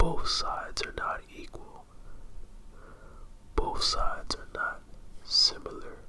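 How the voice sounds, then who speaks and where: A man talks with an extremely high pitch, lively intonation and a soothing tone, at a very slow pace with long, frequent pauses. His loudness swings widely, and there is noticeable background noise. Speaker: ASMR artist. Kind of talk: ASMR therapy roleplay. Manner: slow, soothing, whispery.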